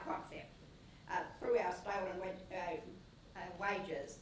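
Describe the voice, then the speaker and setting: A woman talks at a moderate pace, with audible room echo and noticeable background noise in the recording. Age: 80s+. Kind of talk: speech.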